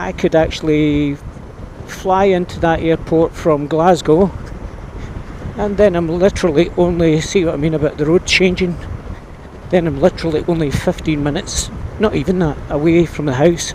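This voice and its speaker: A man with a Scottish accent, high-pitched and fairly even in intonation, with long, frequent pauses and noticeable background noise. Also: moderate pace. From Scotland. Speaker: motorbike vlogger. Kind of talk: casual vlog narration. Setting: outdoors riding a scooter.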